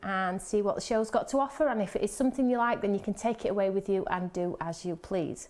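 As she talks, this woman's pitch moves up and down by an ordinary amount. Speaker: presenter. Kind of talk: live show host talk. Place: studio. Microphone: lapel.

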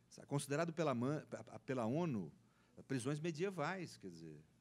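Vocal fry marks this man's voice. Wide pitch swings, very large ones, run through his speech. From Brazil. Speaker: law professor; panelist. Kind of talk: panel debate talk. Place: meeting room. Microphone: handheld.

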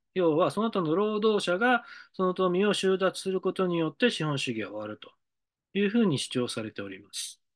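Over a quiet background, a man talks at a moderate pace in a high-pitched voice. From Japan, Hiroshima (Mihara); Hiroshima, Japan. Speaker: decision-making consultant. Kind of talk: monologue lecture; lecture-style monologue. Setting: studio. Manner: halting, many fillers. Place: office. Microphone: webcam.

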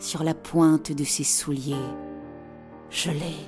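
Music plays in the background as a woman talks very slowly. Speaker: voice actor. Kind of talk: humorous self-promo talk in demo. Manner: playful, cheeky.

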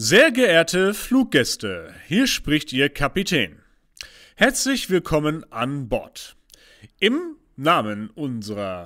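A man puts on a resonant character voice, fairly high in pitch, raised and projected, with very wide pitch swings. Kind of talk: in-flight PA announcement. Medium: audio drama.

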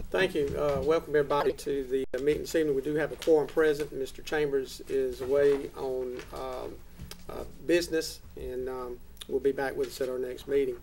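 A man talks fairly quickly while light noise sits in the background. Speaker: council chair leading meeting. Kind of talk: meeting opening and public prayer. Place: hall.

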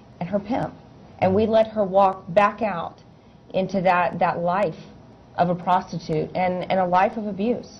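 Over light background noise, a woman talks at a moderate pace with long, frequent pauses, her voice somewhat breathy and her intonation monotone and flat. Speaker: interview guest. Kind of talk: interview answer. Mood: somber, regretful recollection. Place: studio.

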